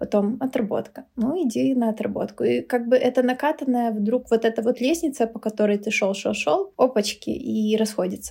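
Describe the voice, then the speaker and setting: A woman's somewhat breathy, dark, mellow voice, fairly high in pitch, with ordinary pitch variation and a fairly quick pace. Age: 30s. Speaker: teacher. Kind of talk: casual chat. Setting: at home over food and drinks.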